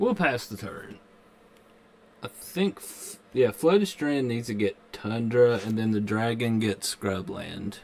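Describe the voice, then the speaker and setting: Very slowly, a man speaks with a Kentucky accent, his loudness swinging widely. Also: medium pitch for a man, ordinary pitch variation. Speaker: gaming streamer. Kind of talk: live game stream commentary. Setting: live stream. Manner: casual.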